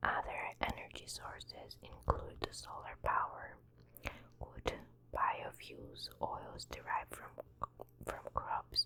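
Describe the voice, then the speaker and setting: The voice, a whisper, moves very slowly with long pauses that come often. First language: not English. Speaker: ASMR creator. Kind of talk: reading aloud. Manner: soft-spoken.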